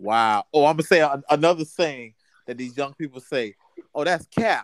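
A man with an unremarkable speaking voice talks at a moderate pace in a fairly high pitch, his intonation lively and his loudness swinging widely, recorded with a dry, close sound and no echo. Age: 30s. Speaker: podcast co-host. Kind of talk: casual chat.

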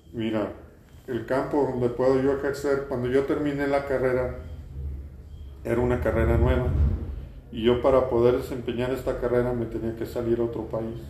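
Audible room echo surrounds a man speaking at medium pitch with fairly even intonation. His pace is moderate, with long, frequent pauses. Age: 60s. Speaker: industrial designer. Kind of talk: interview. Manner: halting, many repeated words.

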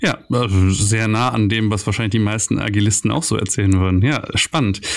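A man is speaking. His pitch sits fairly low. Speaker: podcast host, agile coach. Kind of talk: podcast interview. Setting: recorded on vacation.

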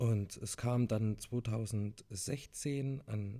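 This man's medium-pitched voice has a dark, mellow, somewhat breathy tone and ordinary pitch variation. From Thuringia, Germany (near Jena). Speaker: hearing aid acoustician. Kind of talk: solo podcast monologue.

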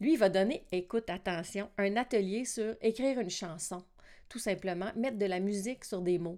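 With a Quebec accent, a woman talks at a moderate pace in a dark, mellow tone, her medium pitch showing ordinary pitch variation. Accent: Québécois French. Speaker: podcast host, singing teacher and multi-instrumentalist. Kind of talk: casual monologue podcast. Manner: casual with many filler words.

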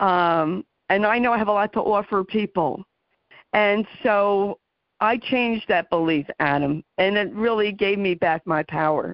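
In an ordinary speaking voice, a woman talks at a fairly slow pace and medium pitch, with very even loudness and ordinary pitch variation. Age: 60s. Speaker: radio talk show host. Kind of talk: interview.

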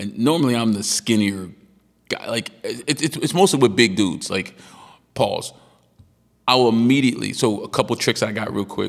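A man speaks with vocal fry and lively intonation. He leaves long, frequent pauses. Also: medium pitch for a man, moderate pace. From Maryland suburbs. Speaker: boxing trainer and podcast host. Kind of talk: casual chat. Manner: subdued today, not shouting.

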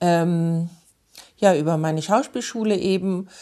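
A woman has an ordinary speaking voice, fairly low in pitch with ordinary pitch variation. She speaks at a fairly slow pace against a quiet background. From Munich, Bavaria. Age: 40s. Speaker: theatre director and actress. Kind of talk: interview.

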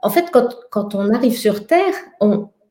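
A woman speaks in a dark, mellow tone. Her intonation is lively. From France. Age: 50s. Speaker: somatic educator and researcher. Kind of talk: casual conversation.

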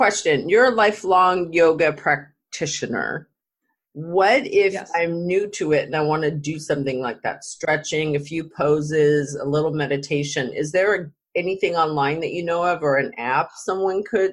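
This woman has an ordinary speaking voice, pitched fairly low. She moves at a moderate pace with ordinary pitch variation. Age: 50s. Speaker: podcast host. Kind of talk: casual chat.

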